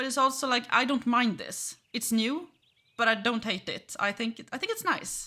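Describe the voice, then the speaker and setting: In a Swedish accent, a woman speaks at a moderate pace in a high, bright, sharp voice, with ordinary pitch variation and big swings in loudness. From Sweden. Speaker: gaming streamer, game company employee. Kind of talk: gameplay livestream commentary. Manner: casual, hesitant with fillers.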